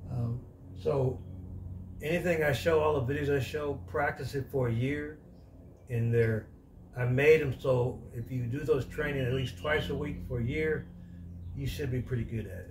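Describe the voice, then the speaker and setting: A man speaks with lively intonation and long, frequent pauses, and audible room echo surrounds his voice. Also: medium pitch for a man, moderate pace. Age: 70s. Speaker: martial arts instructor. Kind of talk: tutorial. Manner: halting.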